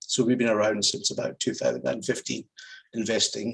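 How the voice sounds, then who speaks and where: A man with a Scottish accent at a fairly quick pace. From Scotland. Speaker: private equity investor. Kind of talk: panel discussion.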